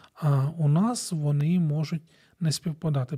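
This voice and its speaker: Speaking very slowly, a man with a dark, mellow tone and ordinary pitch variation is heard in a dry, close recording with no echo, very clean against a silent background. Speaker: radio host, family counselor. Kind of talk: radio monologue on family issues.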